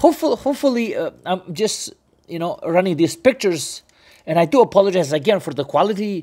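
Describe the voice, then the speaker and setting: The pace is moderate. Little can be heard behind the voice. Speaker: cycling channel host. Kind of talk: tutorial. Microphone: phone near.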